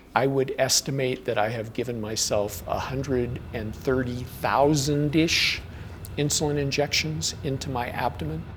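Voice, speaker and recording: A man with a medium pitch talks at a fairly slow pace against noticeable background noise. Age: 60s. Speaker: record-holding endurance climber. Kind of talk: documentary interview. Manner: halting, with fillers and repeats.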